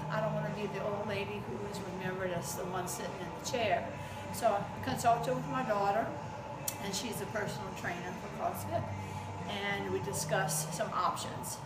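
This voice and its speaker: A woman talks at a moderate pace while music plays behind her. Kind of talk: interview answer.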